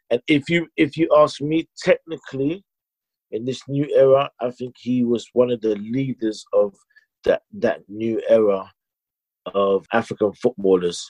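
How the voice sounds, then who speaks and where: A plain, everyday voice from a man, medium in pitch, with lively intonation at a fairly slow pace. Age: 30s. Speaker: business owner and football fan. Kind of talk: casual chat.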